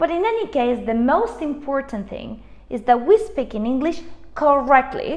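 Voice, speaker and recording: Amid noticeable background noise, a woman with a non-native accent speaks fairly slowly in a high voice with very wide pitch swings. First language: not English (English is her third language). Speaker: English teacher. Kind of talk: online lesson.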